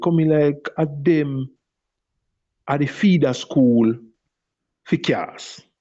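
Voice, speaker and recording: With a Jamaican accent, a man speaks very slowly in a fairly high pitch, with fairly even intonation and long, frequent pauses. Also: very even loudness. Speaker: dub poet. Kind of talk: interview answer. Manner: casual, conversational.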